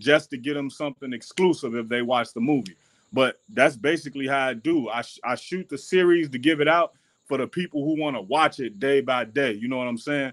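Over a quiet background, the voice moves at a fairly quick pace with ordinary pitch variation. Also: man. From Chicago, West Side; Chicago. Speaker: rapper and independent filmmaker; guest. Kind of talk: interview. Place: home room. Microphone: video call.

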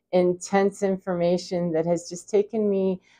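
A woman's dark, mellow tone at a moderate pace, with a quiet background. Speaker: spiritual vlogger. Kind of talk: casual vlog chat. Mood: reflective, warm, laughing at times. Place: home room. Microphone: lapel.

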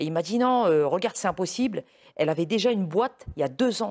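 Lively intonation marks this man's speech, recorded very cleanly against a silent background. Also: dry, close sound with no echo. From Lorraine, north-east France. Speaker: interviewer. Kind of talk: interview.

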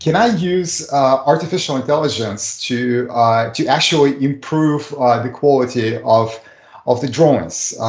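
A man speaks with audible room echo. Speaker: remote guest. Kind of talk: interview answer. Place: home room. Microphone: video call.

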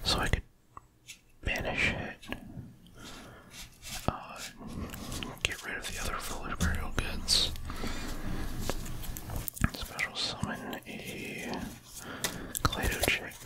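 Soft-spoken whispering at a very slow pace, with long, frequent pauses, over loud background noise. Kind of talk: casual deck explanation. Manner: soft ASMR whisper, rambling.

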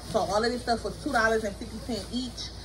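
Music plays behind a woman as she talks. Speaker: mom vlogger. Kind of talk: casual vlog chat. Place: home room. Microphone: camera far.

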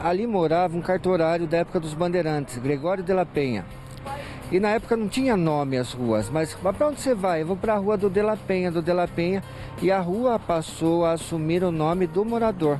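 Over clear music in the background, a man with a high pitch talks at a fairly quick pace in a dry sound with no echo. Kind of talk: interview answer. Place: street. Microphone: handheld.

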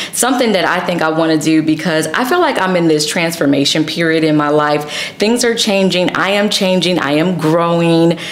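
The speech moves at a fairly quick pace. Room echo is audible. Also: woman. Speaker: fashion content creator. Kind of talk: sponsored fashion vlog talk. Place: home room.

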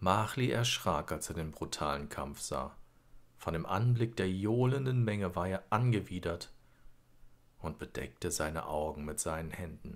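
This man's very deep, low voice has a calm, soothing tone and lively intonation. He speaks at a fairly slow pace. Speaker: audiobook narrator. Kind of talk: bedtime story read aloud, scripted narration. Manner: calm, slow, soothing storyteller; gently expressive, lulling.

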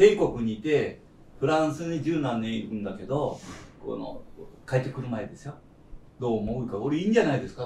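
In a room with audible echo, a man speaks at a fairly quick pace with lively intonation and long, frequent pauses. His tone is dark, mellow and somewhat breathy, with big swings in loudness. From Kyushu, Japan; Japan. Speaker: veteran chef. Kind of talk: roundtable discussion. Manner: long-winded. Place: cafe.

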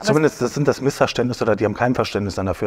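A man's voice against a quiet background. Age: 30s. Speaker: professional bodybuilder. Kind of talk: casual chat. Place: studio. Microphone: lapel.

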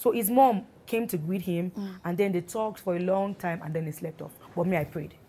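Speaking at a fairly quick pace with hardly any pauses, a woman has a medium pitch, ordinary pitch variation, a dark, mellow tone and a somewhat breathy quality. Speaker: gospel singer, guest. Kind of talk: interview, personal testimony.

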